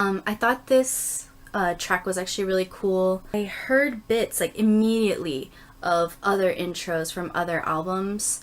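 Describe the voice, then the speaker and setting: A woman talks quietly at a medium pitch. Her pace is fairly slow. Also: ordinary pitch variation. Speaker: YouTuber doing album unboxing and reviews. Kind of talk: casual video review. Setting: home recording with others in the house. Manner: subdued, quiet; hesitant, many fillers.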